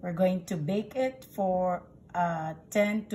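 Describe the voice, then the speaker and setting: A woman speaks in a dark, mellow, somewhat breathy tone with ordinary pitch variation over light background noise. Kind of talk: tutorial. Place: kitchen. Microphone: phone near.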